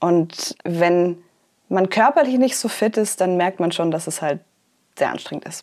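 Recorded very cleanly against a silent background, a woman with a plain, everyday voice talks at a fairly slow pace in a fairly low pitch with ordinary pitch variation. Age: 20s. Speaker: poetry slammer and author. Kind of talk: interview.

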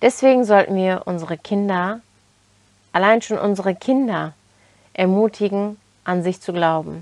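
A woman speaks at a medium pitch with ordinary variation. She pauses often and at length. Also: moderate pace. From Turkey, then Germany from age 11. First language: Turkish (speaking German). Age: 20s. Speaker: self-development podcaster. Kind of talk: motivational monologue.

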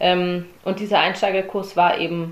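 A woman speaks at a fairly slow pace. The recording carries noticeable background noise and audible room echo. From Germany, Swabia (Herrenberg). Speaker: CrossFit athlete. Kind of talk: interview.

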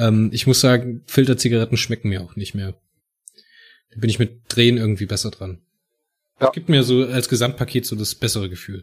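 Somewhat breathy and medium in pitch, a man speaks with ordinary pitch variation, big swings in loudness and long, frequent pauses, in a very clean recording with a silent background. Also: fairly quick pace. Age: 30s. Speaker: podcast host. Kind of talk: casual chat.

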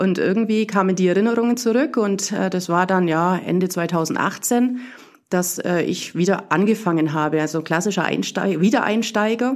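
A woman with an unremarkable speaking voice, medium pitch, ordinary pitch variation and very even loudness. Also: moderate pace. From Bavarian Swabia, Burgau. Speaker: tennis club volunteer leader. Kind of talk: casual interview.

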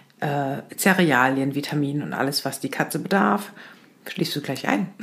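Very deep, low pitch from a woman, with ordinary variation in pitch. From Lower Saxony, near Hannover. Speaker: podcast co-host. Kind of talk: casual chat.

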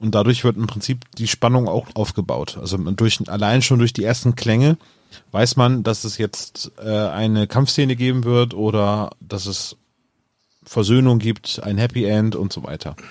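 Speaking at a fairly slow pace, a man has an ordinary speaking voice. His pitch is medium, with ordinary pitch variation. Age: 40s. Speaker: podcaster guest. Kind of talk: casual chat.

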